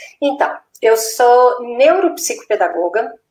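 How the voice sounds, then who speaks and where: A woman talks with lively intonation in a Minas Gerais accent. Her pace is fairly slow. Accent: Minas Gerais accent, noticeable. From Minas Gerais, Brazil. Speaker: neuropsychopedagogue and educator. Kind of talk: live-stream interview.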